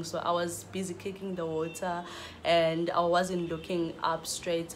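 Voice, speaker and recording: Audible room echo surrounds a woman's voice. She talks at a fairly low pitch and a fairly slow pace. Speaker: vlogger. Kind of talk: storytelling. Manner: halting.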